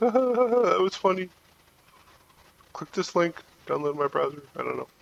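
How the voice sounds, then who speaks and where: Someone mumbles at a moderate pace with lively intonation over noticeable background noise. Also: man. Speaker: gaming youtuber. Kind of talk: gameplay commentary. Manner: mumbling; casual.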